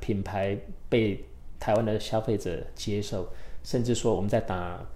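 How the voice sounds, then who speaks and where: With a fairly low pitch and a dark, mellow tone, a man talks at a moderate pace with ordinary pitch variation, and audible room echo surrounds his voice. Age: 50s. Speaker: tech startup CEO. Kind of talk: interview. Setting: studio. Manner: hesitant, many filler sounds.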